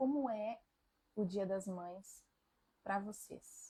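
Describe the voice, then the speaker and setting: Her voice is somewhat breathy, with a dark, mellow tone. The woman shows ordinary pitch variation. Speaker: family constellation therapist. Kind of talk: live stream talk. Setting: live stream. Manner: reflective, conversational.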